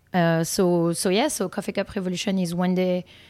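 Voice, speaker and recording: A woman with a dark, mellow tone talks at medium pitch with fairly even intonation. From France. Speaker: nonprofit co-founder and director. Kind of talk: casual interview.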